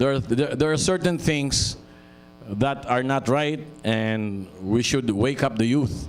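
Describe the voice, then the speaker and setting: A man speaks at a fairly slow pace, leaving long, frequent pauses. His loudness stays very even, with music in the background. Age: 70s. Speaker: radio station owner. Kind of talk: speech at launch event.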